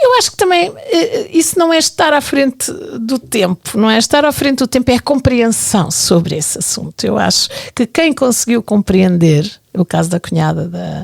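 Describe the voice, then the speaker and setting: The pace is moderate. No echo is present, and the sound is dry and close. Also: woman. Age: 60s. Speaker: television programming director. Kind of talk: casual chat. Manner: halting.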